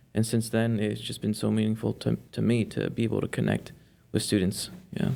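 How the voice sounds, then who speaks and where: This man has a Spanish accent. He talks fairly quickly. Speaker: volunteer tutor. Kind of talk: interview. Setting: studio.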